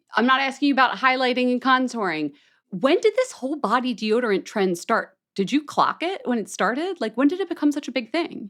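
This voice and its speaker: A woman's high-pitched voice with an American accent, swinging very widely in pitch. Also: fairly quick pace. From Philadelphia. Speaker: beauty podcast host. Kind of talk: casual chat. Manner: animated.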